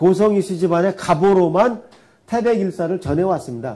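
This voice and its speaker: Despite a high pitch, this man's voice carries a dark, mellow tone. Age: 60s. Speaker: astronomer giving history lecture. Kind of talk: lecture.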